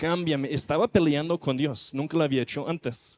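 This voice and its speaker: A man talks at a fairly high pitch with a non-native accent. The sound is dry and close, with no echo. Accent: foreign accent in Spanish. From non-Spanish-speaking country, not Mexico. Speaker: missionary preacher. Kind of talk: sermon.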